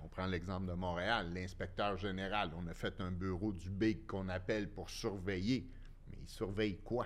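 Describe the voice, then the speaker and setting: A man's very deep, low voice, fairly slow and flat in a monotone, with audible room echo. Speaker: former construction businessman, inquiry witness. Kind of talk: casual chat.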